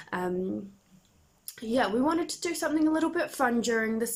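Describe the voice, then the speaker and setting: A woman with a New Zealand accent and lively intonation. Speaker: church volunteer presenting a cooking video for children. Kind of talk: tutorial.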